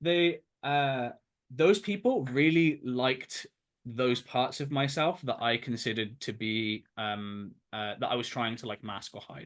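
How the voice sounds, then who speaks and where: At a fairly slow pace, the speaker uses lively intonation and big swings in loudness against a quiet background. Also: man. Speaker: game development student. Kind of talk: interview. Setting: webinar. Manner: halting.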